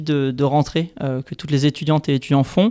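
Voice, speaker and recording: A man talks at a fairly quick pace. His pitch is fairly high, and he has an unremarkable speaking voice. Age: 30s. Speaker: engineer working for an environmental nonprofit. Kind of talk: interview.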